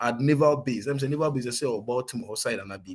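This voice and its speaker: Speaking very fast in a Ghanaian accent, a man uses a medium pitch with ordinary variation. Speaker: soldier. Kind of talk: interview testimony. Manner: code-switching Twi and English.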